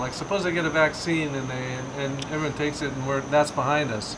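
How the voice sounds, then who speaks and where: Over noticeable background noise and audible room echo, a man with an American accent talks very fast at a fairly high pitch. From US West Coast, Bay Area. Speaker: painter. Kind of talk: casual chat; tutorial.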